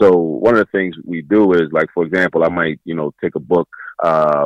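A man's very deep, low pitch with fairly even intonation, a moderate pace and a dry, close sound with no echo. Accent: American. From Baltimore, Maryland. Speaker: math educator. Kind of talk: interview. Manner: repetitive, halting starts.

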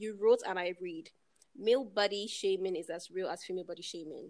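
At a fairly quick pace, a woman speaks in a fairly low voice with a slightly mellow tone and ordinary pitch variation.

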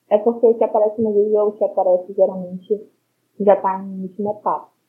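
The voice holds a monotone, flat intonation while its loudness swings widely. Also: woman, medium pitch for a woman. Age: 20s. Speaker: university student with neurofibromatosis. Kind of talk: interview. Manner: halting.

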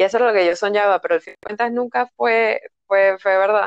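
Recorded dry and close with no echo, a woman speaks at a fairly quick pace with ordinary pitch variation. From Panama. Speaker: energy therapist. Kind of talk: casual interview. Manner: calm, soothing.

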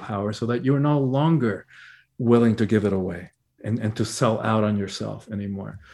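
Over a quiet background, a man with a plain, everyday voice speaks at a moderate pace with ordinary pitch variation. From Cuba, emigrated to the US at ten. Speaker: spiritual teacher and author. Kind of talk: interview. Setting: video call.

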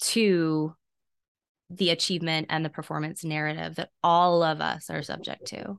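Against a quiet background, a woman with an American accent speaks at a moderate pace in a fairly low pitch with monotone, flat intonation. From US South, South Carolina. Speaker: intimacy and pleasure coach. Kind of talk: interview.

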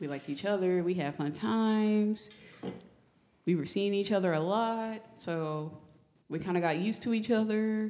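With a dark, mellow tone and medium pitch, a woman speaks at a moderate pace, leaving long, frequent pauses. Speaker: podcast guest. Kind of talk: casual chat.

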